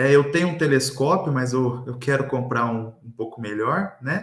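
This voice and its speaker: A man speaks in a somewhat breathy voice. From Brazil, Minas Gerais. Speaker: astronomy educator, professor. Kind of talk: interview conversation. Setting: online live stream.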